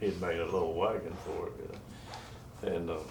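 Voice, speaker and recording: A man with an American accent at a fairly slow pace, with audible room echo. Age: 80s+. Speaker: retired musician and songwriter. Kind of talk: oral history interview. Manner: halting, many fillers.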